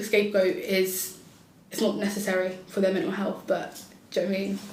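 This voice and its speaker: At a fairly quick pace, a woman speaks amid noticeable background noise and audible room echo. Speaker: podcast panelist, mental health nurse. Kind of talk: casual panel discussion. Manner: loud and bubbly.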